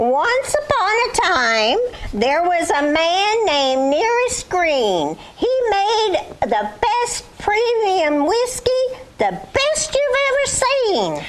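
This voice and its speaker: A cartoonish character voice speaks at an extremely high pitch with very wide pitch swings. The pace is very slow, over light background noise. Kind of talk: puppet skit comedy. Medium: puppet show. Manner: folksy, sing-song rhyming.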